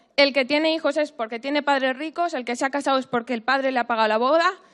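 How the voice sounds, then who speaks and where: A woman's intonation is fairly even. Her voice is high in pitch. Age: 20s. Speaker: young worker asking a question. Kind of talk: public question at town hall.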